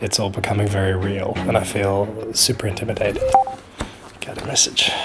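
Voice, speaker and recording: A man speaks with an Australian accent at a fairly quick pace. Noticeable background noise runs under the recording. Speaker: climber and videographer vlogger. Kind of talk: vlog narration.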